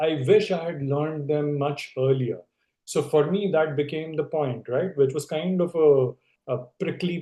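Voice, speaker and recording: A man's fairly high-pitched voice in a Telugu accent. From India. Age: 50s. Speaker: leadership expert. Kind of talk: interview conversation. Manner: conversational, with fillers and restarts.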